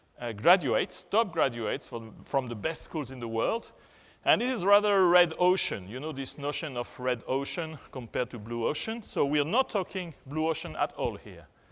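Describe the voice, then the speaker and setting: A man with a French accent, fairly high pitch and very wide pitch swings at a moderate pace, on a very clean recording with a silent background. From France. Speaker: HR and communications executive, conference speaker. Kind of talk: conference keynote. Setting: stage with audience. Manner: halting, many fillers.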